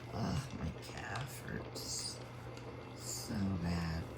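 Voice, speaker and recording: Through noticeable background noise, a woman speaks with a very deep, low pitch. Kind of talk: ASMR rambling, casual talk. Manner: soft-spoken, close-mic.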